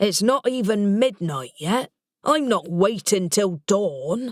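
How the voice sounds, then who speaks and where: A woman's put-on character voice, gruff and growling, at a medium pitch and fairly slow pace, with very wide pitch swings and very even loudness. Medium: read story. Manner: gruff, snarling.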